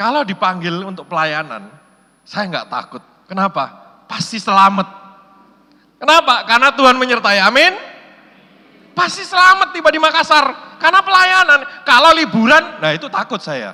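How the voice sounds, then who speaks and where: A man's raised, projected voice sits at an extremely high pitch, swinging very widely in pitch and greatly in loudness, with an animated tone. He keeps a moderate pace broken by long, frequent pauses. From Indonesia, Surabaya (East Java). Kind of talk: sermon. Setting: church hall with audience.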